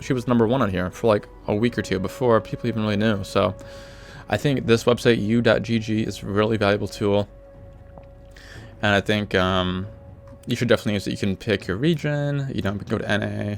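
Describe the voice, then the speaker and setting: This man has a fairly low pitch and talks at a fairly quick pace with ordinary pitch variation. Music plays in the background. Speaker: gamer, League of Legends support player. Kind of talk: casual gaming tips talk. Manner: casual, hesitant, many fillers.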